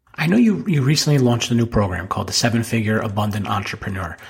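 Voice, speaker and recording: A man with an American accent talks at a very fast clip, his intonation lively, over noticeable background noise. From New Jersey. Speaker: podcast host, financial advisor. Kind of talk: casual interview.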